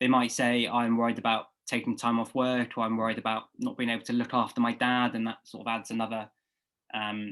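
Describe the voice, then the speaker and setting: Here a man talks with a British accent at a medium pitch. His pace is fairly quick, on a very clean recording with a silent background. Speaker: medical student tutor. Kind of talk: lecture. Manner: fast; halting, many fillers.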